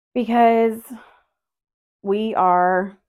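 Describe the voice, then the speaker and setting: Intonation here stays fairly even. The speaker is a woman. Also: very clean recording, silent background. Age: 30s. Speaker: podcast host. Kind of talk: casual solo chat. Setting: at home doing laundry, on video.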